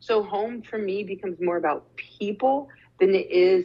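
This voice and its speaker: A woman's ordinary speaking voice with an American accent, medium pitch, moderate pace and ordinary pitch variation. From Arizona. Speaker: social justice speaker and startup founder. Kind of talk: interview.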